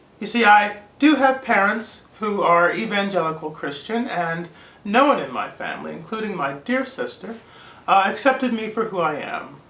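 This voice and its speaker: Lively intonation at a moderate pace comes through with audible room echo. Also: woman, medium pitch for a woman. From Pennsylvania, Pittsburgh. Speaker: video blogger. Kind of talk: personal testimony. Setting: recorded on camera. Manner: earnest, measured.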